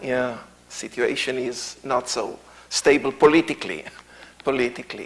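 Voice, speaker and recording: Amid noticeable background noise, a man with an Israeli accent and a medium pitch speaks at a very slow pace in a monotone with flat intonation. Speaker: tour guide and Bible teacher. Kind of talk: lecture. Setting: church. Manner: halting, many fillers.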